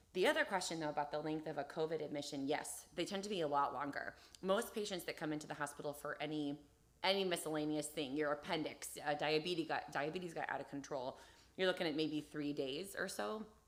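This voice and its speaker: Very fast, a woman talks with a very deep, low pitch. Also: ordinary pitch variation. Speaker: emergency room doctor. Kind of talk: live Q&A interview.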